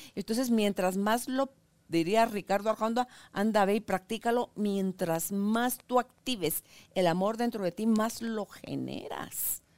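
A woman speaks at a fairly slow pace in a normal speaking voice, fairly high-pitched with fairly even intonation. The recording is very clean with a silent background and a dry, close sound with no echo. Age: 60s. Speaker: talk show host. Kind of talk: interview. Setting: studio.

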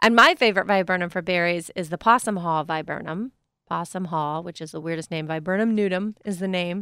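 In a Pennsylvania accent, the speaker talks at a fairly quick pace with a bright, sharp tone, ordinary pitch variation and big swings in loudness, in a dry, close sound with no echo. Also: woman, fairly low pitch for a woman. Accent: Pennsylvania American. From eastern Pennsylvania. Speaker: radio gardening co-host. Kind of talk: casual radio call-in chat. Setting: radio studio. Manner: animated.

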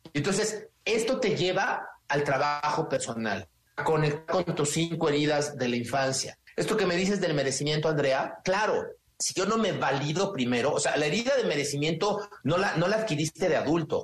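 A man speaks at a moderate pace with a Mexican accent. His fairly high voice has an energetic tone and lively intonation. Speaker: business consultant and personal growth coach. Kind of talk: radio interview.

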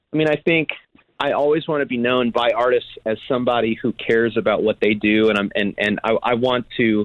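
In an American accent, a man with an ordinary speaking voice talks at a fairly quick pace, his pitch medium with ordinary variation and his loudness very even. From US Midwest, Chicago. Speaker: songwriter and producer. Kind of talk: interview, casual chat.

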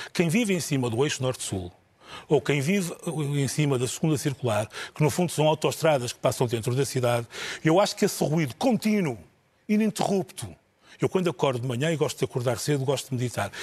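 A man with a fairly high, somewhat breathy voice talks fairly quickly, his intonation lively. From northern Portugal. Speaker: TV journalist. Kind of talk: panel discussion.

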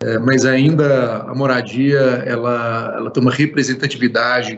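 The speaker is a man. His intonation stays monotone and flat. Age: 40s. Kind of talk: interview.

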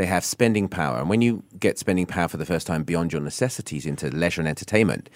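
With a southern English accent, a man with a very deep, low pitch talks at a very fast pace. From southern England, Isle of Wight. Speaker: business executive. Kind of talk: radio interview.

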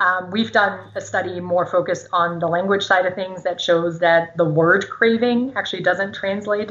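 With noticeable background noise behind her, a woman talks at a fairly quick pace and medium pitch with fairly even intonation. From Germany. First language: German. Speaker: psychology professor. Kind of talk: interview.

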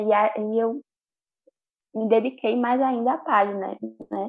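A woman's plain, everyday voice, fairly high in pitch, with ordinary pitch variation and a fairly slow pace. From Pernambuco, Brazil (Bezerros). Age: 20s. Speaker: student and social media creator. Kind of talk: casual chat.

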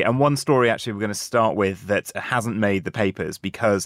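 A man speaks at a moderate pace in an ordinary speaking voice, his fairly low pitch showing ordinary variation. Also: very clean recording, silent background. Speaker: radio host. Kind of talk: live radio presenting, formal newsreading for headlines. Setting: studio. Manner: formal, crisp and steady newsreader delivery; polished, measured, businesslike pace.

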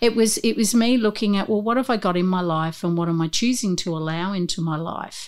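With an Australian accent, a woman speaks at a fairly quick pace with hardly any pauses, her medium pitch showing ordinary variation. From Newcastle, Australia. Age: 50s. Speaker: corporate trainer and coach. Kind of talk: casual interview chat.

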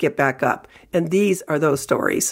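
A woman speaks with a very deep, low pitch. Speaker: newspaper columnist and podcast host. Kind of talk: scripted intro and interview narration. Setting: studio.

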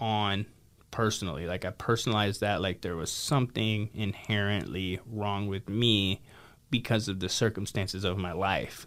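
In an American accent and an unremarkable speaking voice, a man speaks at a moderate pace with fairly even intonation and a fairly low pitch, on a very clean recording with a silent background. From Idaho. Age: 30s. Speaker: recovery center founder. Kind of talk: interview.

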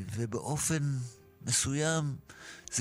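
There is music in the background as a man speaks. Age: 60s. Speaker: songwriter. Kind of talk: interview. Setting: studio.

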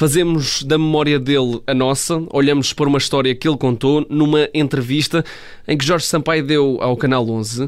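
At a moderate pace, a man speaks in an unremarkable speaking voice, fairly high in pitch with fairly even intonation. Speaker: sports journalist. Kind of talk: radio sports segment.

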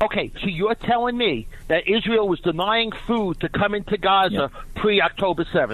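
With a New York accent, a man speaks in a high pitch at a moderate pace. His loudness stays very even, with ordinary pitch variation. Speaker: caller. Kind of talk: call-in. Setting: phone call.

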